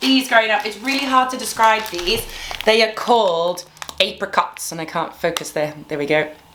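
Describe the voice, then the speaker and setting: Pitched fairly high, a woman speaks at a moderate pace over noticeable background noise. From Zimbabwe. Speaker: YouTuber. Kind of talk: casual chat, snack tasting.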